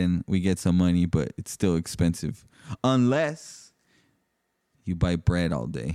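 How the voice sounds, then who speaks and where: On a very clean recording with a silent background, a man with an American accent speaks at a fairly slow pace in a very deep, low voice with a dark, mellow tone. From Mexican-US border town; family from Torreón, Coahuila. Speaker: podcast host and DJ. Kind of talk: casual chat.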